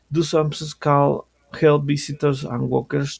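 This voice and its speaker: Fairly slow speech with a Colombian accent, in a dry, close sound with no echo. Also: man. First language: Spanish. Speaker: language student. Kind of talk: student class presentation. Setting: screen-shared recording. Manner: halting, with self-corrections.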